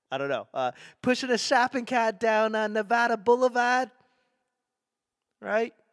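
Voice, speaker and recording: A man speaks at an extremely high pitch, with long, frequent pauses, in a dry, close recording with no echo that is very clean against a silent background. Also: ordinary pitch variation, moderate pace. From Boston, New England. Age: 40s. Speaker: stand-up comedian and podcast host. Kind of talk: casual podcast monologue.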